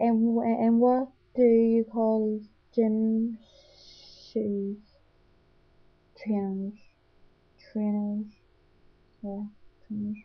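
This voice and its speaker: Fairly high in pitch and somewhat breathy, a woman speaks at a very slow pace with long, frequent pauses, monotone, flat intonation and big swings in loudness. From Northern Ireland. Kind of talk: accent tag word list and questions, casual talk to camera. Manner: stuttering.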